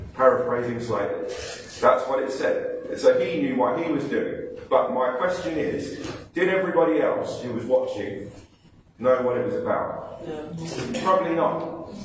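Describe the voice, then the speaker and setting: There is audible room echo and noticeable background noise as a man speaks fairly slowly. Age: 30s. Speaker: pastor. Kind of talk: sermon. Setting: church. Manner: animated.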